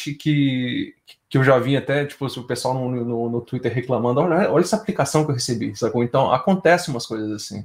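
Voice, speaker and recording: It has ordinary pitch variation. This is an ordinary speaking voice. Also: man. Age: 30s. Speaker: game audio sound designer. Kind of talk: casual interview chat.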